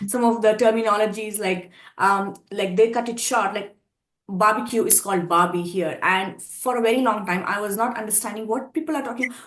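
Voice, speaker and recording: Fairly quick and fairly even in intonation, a woman speaks with an Indian accent. Her pitch is fairly high. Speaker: pageant contestant. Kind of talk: interview.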